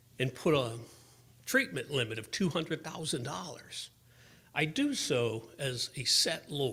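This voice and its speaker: A man's bright, sharp voice with vocal fry and very wide pitch swings, at a moderate pace. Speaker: benefits lawyer. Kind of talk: conference presentation.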